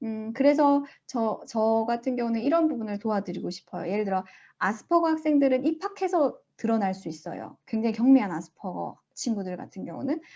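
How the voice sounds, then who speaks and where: A woman with a fairly high pitch and a dark, mellow tone talks at a fairly quick pace with lively intonation. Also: quiet background. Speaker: school principal presenting research. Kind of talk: Q&A at online research presentation.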